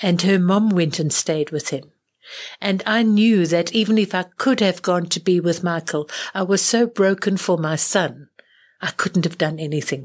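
Speaking with a South African accent, a woman uses a fairly low pitch, ordinary pitch variation and a moderate pace. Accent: refined South African English. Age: 70s. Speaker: spiritual teacher and clairvoyant healer. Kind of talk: interview conversation.

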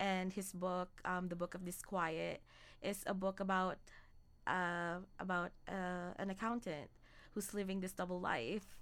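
In a very clean recording with a silent background, a woman with a normal speaking voice talks fairly slowly at a medium pitch with fairly even intonation. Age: 20s. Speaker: podcast co-host. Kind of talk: casual chat.

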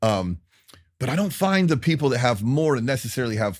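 A man with an American accent talks at a medium pitch and a fairly quick pace, his pitch swinging very widely. The recording is very clean, with a silent background. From Tampa, Florida. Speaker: podcast host and country musician. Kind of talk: casual interview about grief and faith. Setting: studio.

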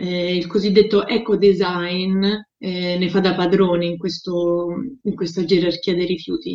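In a flat monotone, a woman of medium pitch speaks at a fairly slow pace. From Rome, Italy. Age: 30s. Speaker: sustainability entrepreneur. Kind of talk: interview. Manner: halting, frequent fillers.

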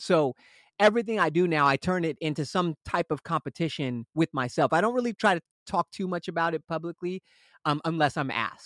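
A man with a Californian accent speaks at a fairly quick pace in a high pitch and an energetic tone. The recording is very clean with a silent background and a dry, close sound with no echo. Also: ordinary pitch variation. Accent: Californian American English. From Los Angeles area, US. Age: 30s. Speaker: rock singer, frontman. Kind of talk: casual interview chat.

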